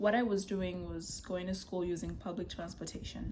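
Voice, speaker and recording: In a Kenyan accent, a woman speaks at a moderate pace with ordinary pitch variation and audible room echo. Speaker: vlogger. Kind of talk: casual chat.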